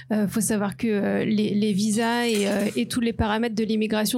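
With music in the background, a woman speaks at a medium pitch with fairly even intonation. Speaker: marketing professional, mother. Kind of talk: live podcast panel testimony. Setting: live recording before an audience.

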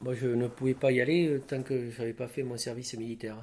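His intonation stays fairly even at a medium pitch. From southwest France, Lot-et-Garonne. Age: 60s. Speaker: crane operator. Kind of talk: interview.

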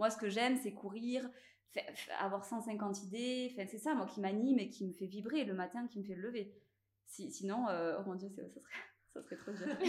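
At a moderate pace with long, frequent pauses, a woman speaks at a fairly high pitch with ordinary pitch variation. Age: 30s. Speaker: clothing brand founder, former estate agent. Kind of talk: casual interview. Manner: halting, many hesitations and repetitions.

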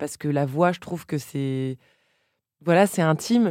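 This woman has a very deep, low pitch and a dark, mellow tone, speaking at a moderate pace. The sound is dry and close with no echo, and the recording is very clean with a silent background. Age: 30s. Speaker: journalist and podcast host. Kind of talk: casual chat. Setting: studio.

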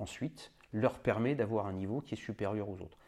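A man speaks at a medium pitch in a dark, mellow tone. The background is quiet. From France, moved around incl. Africa as a child. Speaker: retired army general. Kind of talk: interview.

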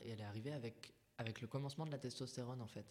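A man's medium-pitched voice moves fairly quickly, keeping a fairly even intonation. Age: 20s. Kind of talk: testimony. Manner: halting.

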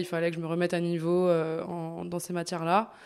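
Here a woman is speaking. Her pace is moderate. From France, Bourg-en-Bresse (Ain). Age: 20s. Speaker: osteopath. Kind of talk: casual interview. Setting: osteopathy practice.

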